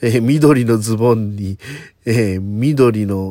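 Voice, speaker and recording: A man's fairly low-pitched voice, dark and mellow in tone. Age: 40s. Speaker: comedian and solo podcast host. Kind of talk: casual solo talk.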